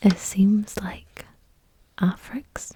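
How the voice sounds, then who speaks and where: A woman is whispering. Her pace is very slow. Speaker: ASMR reader. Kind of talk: casual chatty talk to camera. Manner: soft-spoken, friendly.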